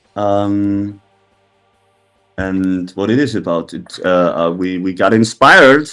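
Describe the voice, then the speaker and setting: Over music in the background, the speaker talks at a very slow pace with a German accent and ordinary pitch variation. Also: man. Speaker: metal band member. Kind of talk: interview. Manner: halting.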